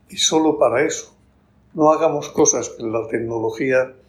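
A man is speaking. His pace is moderate. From Spain, Murcia region. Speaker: bank executive and author. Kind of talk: casual interview.

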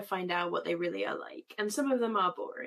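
A woman talks at a very fast pace. She has a British accent. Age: 30s. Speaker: comics editor and cartoonist. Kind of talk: casual chat.

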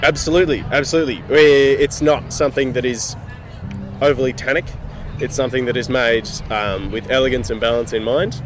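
A man talking at a fairly quick pace with ordinary pitch variation, music in the background. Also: medium pitch for a man. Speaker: winemaker. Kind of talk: casual interview.

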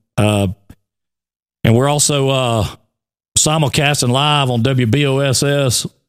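A man with an Alabama accent at a medium pitch, very slow, with fairly even intonation and long, frequent pauses, in a very clean recording with a silent background. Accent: Southern US (Alabama). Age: 40s. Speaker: radio show co-host. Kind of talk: casual morning show chat.

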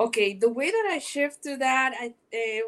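A woman speaks with a high-pitched voice. The recording is very clean, with a silent background. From Panama. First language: Spanish. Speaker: podcast host. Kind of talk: interview. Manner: animated; halting.

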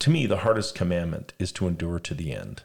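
A man with an American accent speaks at a moderate pace, his pitch swinging very widely and his voice showing vocal fry. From Las Vegas, US West. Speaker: podcast host. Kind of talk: casual religious discussion.

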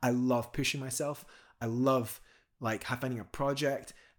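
A man with a Scottish accent speaks at a medium pitch. The recording is very clean, with a silent background. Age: 30s. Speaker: professional climber. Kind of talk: interview conversation.

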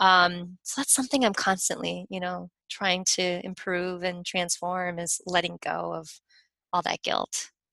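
A woman with a fairly low pitch and a bright, sharp tone speaks at a fairly slow pace with fairly even intonation. The sound is dry and close with no echo, over a quiet background. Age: 40s. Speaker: Reiki master and author. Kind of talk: casual interview.

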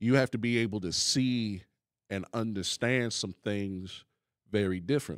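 In a normal speaking voice, a man talks at a fairly slow pace with fairly low pitch, ordinary pitch variation and a dry, close sound with no echo. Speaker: pastor and podcast host. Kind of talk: sermon-style Bible teaching and discussion. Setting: live in-person audience and online stream.

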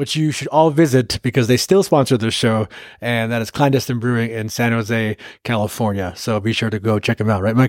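Recorded very cleanly with a silent background and a dry, close sound with no echo, a man speaks at medium pitch and a fairly quick pace with ordinary pitch variation. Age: 30s. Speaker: podcast host. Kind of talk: casual chat. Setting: on location.

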